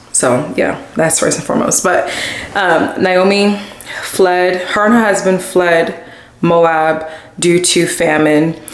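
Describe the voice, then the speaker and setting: Against noticeable background noise and audible room echo, a woman speaks with a fairly low pitch. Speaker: lifestyle vlogger. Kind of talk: casual vlog talk to camera.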